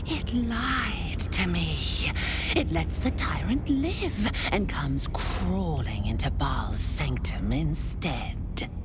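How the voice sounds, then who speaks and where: A put-on character voice whispers at a very slow pace. Loud background noise runs underneath. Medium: machinima. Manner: menacing, whispery.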